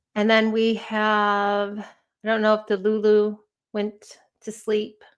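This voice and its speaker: Very slow and monotone with flat intonation, a woman speaks at a fairly high pitch in a Chicago accent. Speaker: true crime live streamer. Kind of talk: casual live stream chat.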